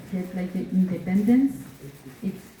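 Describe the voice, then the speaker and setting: A woman speaks at a medium pitch. The room echo is audible. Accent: French. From Belgium (Brussels), Moroccan heritage. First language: French. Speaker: cultural exchange presenter. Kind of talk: Q and A presentation. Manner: halting, many fillers.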